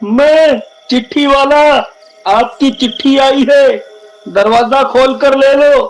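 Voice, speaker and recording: A man puts on a cartoonish character voice, extremely high in pitch, and speaks at a very slow pace. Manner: sly, taunting.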